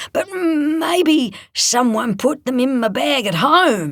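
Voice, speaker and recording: This man's delivery comes at a very slow pace. He puts on a character voice pitched extremely high. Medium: read story. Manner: gruff, laconic.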